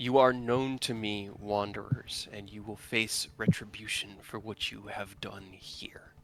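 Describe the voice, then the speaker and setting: Using a put-on character voice, a man talks at a fairly slow pace and medium pitch. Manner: threatening.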